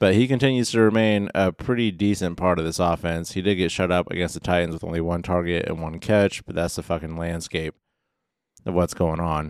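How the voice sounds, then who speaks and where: A man's very deep, low voice at a fairly quick pace on a very clean recording with a silent background. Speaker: fantasy football podcast co-host. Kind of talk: casual banter podcast. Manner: monotone, says he can't inflect.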